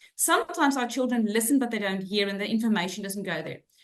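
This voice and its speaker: A woman with a South African accent, fairly high pitch and lively intonation. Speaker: head of inclusion for a school group. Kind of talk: webinar presentation. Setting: online webinar.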